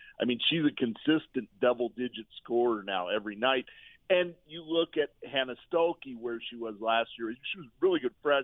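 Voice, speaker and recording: Delivered at a moderate pace, a plain, everyday voice shows ordinary pitch variation and big swings in loudness. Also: man, medium pitch for a man. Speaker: sports writer. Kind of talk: casual interview chat.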